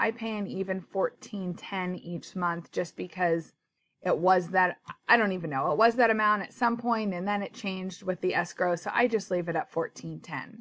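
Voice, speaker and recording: This woman has a plain, everyday voice at medium pitch, with ordinary pitch variation and a moderate pace. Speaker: personal finance vlogger. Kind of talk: tutorial.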